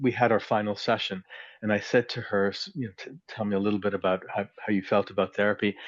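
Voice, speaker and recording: A man's fairly low voice with a Canadian accent. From Canada. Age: 60s. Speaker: clinical psychologist. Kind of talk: interview. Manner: halting, many repetitions and fillers.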